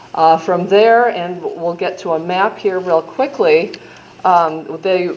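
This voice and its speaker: With a Midwestern accent, a woman speaks at a very slow pace over noticeable background noise. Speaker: state health agency official. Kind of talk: conference presentation. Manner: casual with frequent fillers.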